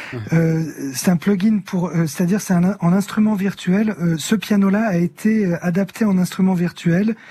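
Against noticeable background noise, a man speaks at a fairly slow pace in a high pitch, with fairly even intonation and very even loudness. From northern France, near Amiens. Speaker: singer and illustrator. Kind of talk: radio interview.

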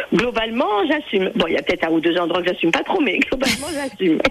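A woman talks with lively intonation while noticeable background noise runs behind her. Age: 50s. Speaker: caller. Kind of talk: phone-in testimony. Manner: joyful, laughing.

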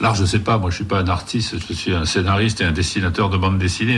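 Audible room echo and noticeable background noise around a man speaking. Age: 60s. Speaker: comic book writer and artist. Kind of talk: interview.

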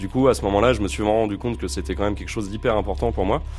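With music in the background, a man speaks in a fairly low pitch. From Essonne, southern suburbs of Paris. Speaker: guitarist and composer. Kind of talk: interview. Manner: halting.

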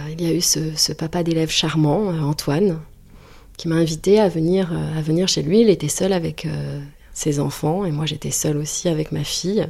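This woman's voice is fairly low in pitch, dark and mellow in tone, at a fairly slow pace with fairly even intonation. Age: 30s. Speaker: interviewee sharing personal story. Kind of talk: personal testimony.

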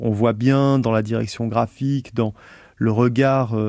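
In a very clean recording with a silent background, a man speaks at medium pitch and a fairly slow pace in a dark, mellow tone. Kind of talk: radio presentation.

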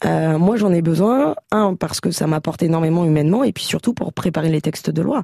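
A woman's fairly low, fairly quick voice, a normal speaking voice with lively intonation and hardly any pauses, in a dry, close sound with no echo. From France, Champagne-Ardenne (Châlons-en-Champagne). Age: 30s. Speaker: member of parliament. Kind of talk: radio interview.

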